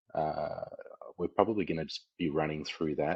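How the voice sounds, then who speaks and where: A man speaks in a very deep, low voice with an enthusiastic tone. The background is quiet. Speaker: community manager hosting a company AMA. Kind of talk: live audio AMA on Discord stage. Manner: quieter than usual; less enthusiastic.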